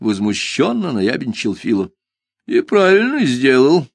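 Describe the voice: What you hear is plain reading aloud. Behind it, things stay quiet.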